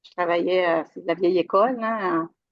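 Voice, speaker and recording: A woman with a Quebec accent speaks at medium pitch. Her pace is moderate and her pitch variation ordinary. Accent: Québécois French. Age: 60s. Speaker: retired IT worker, coaching client. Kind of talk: interview testimony. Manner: halting, many fillers.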